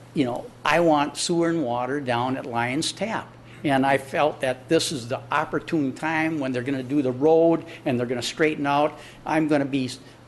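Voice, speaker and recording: This man has an unremarkable speaking voice at a fairly high pitch. He talks at a moderate pace. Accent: American. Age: 60s. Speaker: business owner addressing city council. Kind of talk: public comment at council meeting. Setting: city council chamber. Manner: conversational, repetitive fillers.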